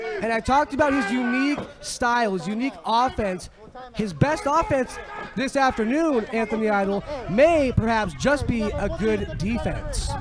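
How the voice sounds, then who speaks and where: A man talks at an extremely high pitch with lively intonation. His pace is moderate, and there is noticeable background noise. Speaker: wrestling commentator. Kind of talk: play-by-play commentary.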